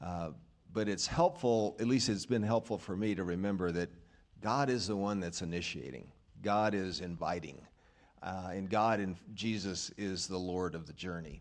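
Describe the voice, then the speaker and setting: A man speaks at a moderate pace with a very deep, low pitch. His ordinary pitch variation comes with audible room echo. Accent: American. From US South, rural Arkansas. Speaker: church member sharing testimony. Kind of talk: testimony. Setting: church. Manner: halting.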